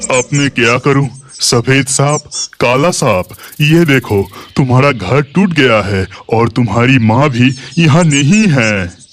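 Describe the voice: A man puts on a cartoonish character voice at a medium pitch. He speaks at a fairly slow pace.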